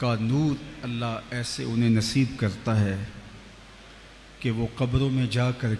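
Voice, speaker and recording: This is a man with a medium pitch. His intonation is fairly even. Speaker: Islamic preacher / religious scholar. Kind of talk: Islamic sermon (bayan) at a shrine. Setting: large public gathering at a shrine. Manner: emotional, passionate oratory.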